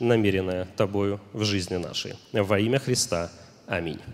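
An unremarkable speaking voice from a man, moderately paced, its pitch varying in an ordinary way. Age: young. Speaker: minister. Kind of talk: prayer. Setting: church service broadcast live.

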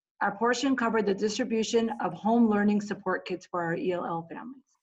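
Here a woman speaks at a medium pitch. Her voice is somewhat breathy. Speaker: English language learner supervisor. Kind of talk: interview conversation.

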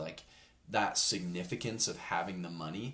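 Very deep, low man's voice at a moderate pace, with an American accent. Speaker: podcast co-host, college student. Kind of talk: casual chat.

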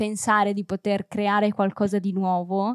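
Recorded dry and close with no echo, a woman talks at a moderate pace in a medium pitch with monotone, flat intonation. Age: 20s. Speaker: set designer. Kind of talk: casual chat.

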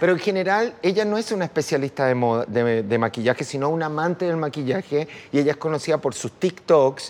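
An ordinary speaking voice from a man, fairly high in pitch and fairly quick, with lively intonation and hardly any pauses. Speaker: makeup artist and designer. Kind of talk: casual chat.

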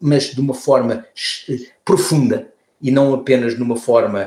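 A man's fairly high, somewhat breathy voice at a fairly slow pace. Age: 60s. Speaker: former politician and environmentalist. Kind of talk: interview conversation. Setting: remote call. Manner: halting, many repeated words.

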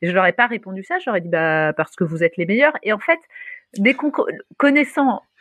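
A woman's voice swings very widely in pitch, the sound dry and close with no echo. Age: 40s. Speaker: startup founder. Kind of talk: interview. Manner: animated.

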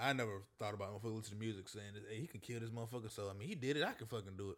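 This is a man in a very clean recording with a silent background. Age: 20s. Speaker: podcast host. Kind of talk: casual chat.

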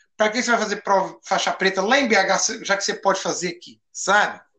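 A man raises and projects his voice. His pitch is high. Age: 50s. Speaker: judo instructor. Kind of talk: casual interview.

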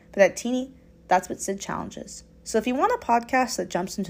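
A woman speaks in a normal speaking voice at medium pitch and a fairly quick pace, with ordinary pitch variation. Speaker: student podcaster.

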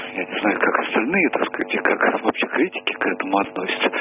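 A man speaks at a fairly quick pace while music plays in the background. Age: 70s. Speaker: caller. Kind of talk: phone-in discussion.

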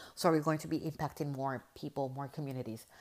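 The recording is very clean with a silent background, as a woman with a Spanish accent speaks with ordinary pitch variation. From Puerto Rico. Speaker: podcast host and life coach. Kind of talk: casual monologue to listeners. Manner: halting, frequent filler words.

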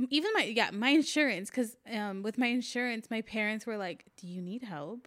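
At a moderate pace, a woman with a plain, everyday voice speaks at a fairly high pitch, with ordinary pitch variation and big swings in loudness. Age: 20s. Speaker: podcast co-host. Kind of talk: casual chat.

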